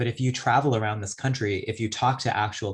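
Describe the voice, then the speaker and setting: A man speaks at medium pitch with a somewhat breathy quality and fairly even intonation. The recording is very clean, with a silent background. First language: a non-English language, since lost. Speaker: poet. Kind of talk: audience Q&A answer. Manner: reflective, with many fillers.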